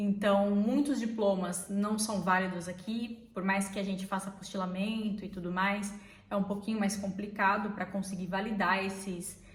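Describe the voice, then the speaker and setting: A woman with medium pitch talks at a moderate pace, hardly pausing, in a monotone, flat intonation. Noticeable background noise and audible room echo surround her. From Brazil. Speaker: vlogger. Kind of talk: casual chat.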